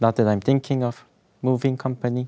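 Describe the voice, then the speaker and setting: A man speaks with a Korean accent in a dark, mellow tone at a medium pitch. The recording is very clean with a silent background, dry and close with no echo. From South Korea. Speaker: finance student and specialist. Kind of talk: interview.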